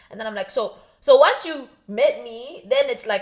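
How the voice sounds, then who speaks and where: A woman speaks in an animated tone at a moderate pace. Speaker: podcast co-host. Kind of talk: casual chat.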